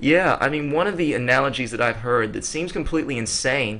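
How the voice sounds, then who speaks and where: Talking at a fairly quick pace, a man uses a bright, sharp tone with vocal fry and ordinary pitch variation. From West Africa. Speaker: podcast host. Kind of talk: casual chat. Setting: studio. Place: home room. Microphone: studio mic.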